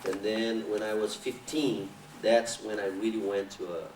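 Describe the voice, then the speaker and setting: The speaker has a Brazilian Portuguese accent. Noticeable background noise is present. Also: man. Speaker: capoeira master. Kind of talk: interview. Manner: halting.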